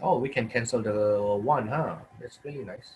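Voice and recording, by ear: A husky, rough-edged, slightly mellow voice at a moderate pace with ordinary pitch variation. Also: man, medium pitch for a man.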